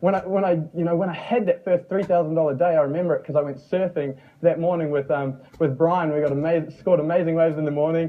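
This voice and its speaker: Speaking very fast in a New Zealand accent, a man with a fairly high pitch is heard over noticeable background noise. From New Zealand, Mount Maunganui. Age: young. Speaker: online marketer and former plumber. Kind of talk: motivational talk. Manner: animated.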